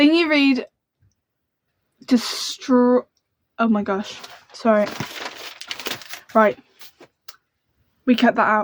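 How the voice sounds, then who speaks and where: With a British accent and a high pitch, a woman speaks very slowly with long, frequent pauses, ordinary pitch variation and a dry, close sound with no echo. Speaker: book youtuber. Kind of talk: casual chat. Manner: animated.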